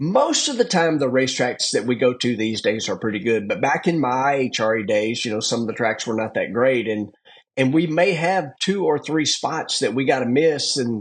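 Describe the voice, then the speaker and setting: A medium-pitched man in a Southern US accent, with ordinary pitch variation, a moderate pace and hardly any pauses. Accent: Southern US country. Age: 50s. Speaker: drag racer. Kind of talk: podcast interview. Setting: in a car.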